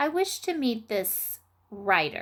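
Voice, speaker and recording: Putting on a character voice, a woman speaks at a fairly high pitch with very wide pitch swings. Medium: read story. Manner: formal, commanding.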